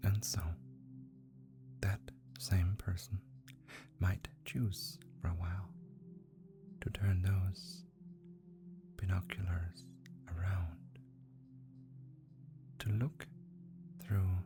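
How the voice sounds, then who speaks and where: Very slow speech from a woman with a very deep, low pitch, very wide pitch swings, long, frequent pauses and music in the background. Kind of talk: hypnotic guided relaxation.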